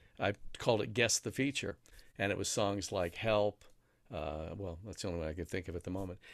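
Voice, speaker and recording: A man with a plain, everyday voice, fairly low in pitch, with ordinary pitch variation and a fairly quick pace, on a very clean recording with a silent background. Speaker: radio host and voiceover artist. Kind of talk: casual interview chat, telling stories. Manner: radio-trained, polished, can switch to NPR tone.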